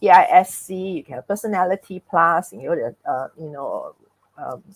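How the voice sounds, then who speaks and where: Heard in a dry, close sound with no echo, a woman speaks in a normal speaking voice at a moderate pace. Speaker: speaker on personality and emotions. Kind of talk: talk with host in live webinar.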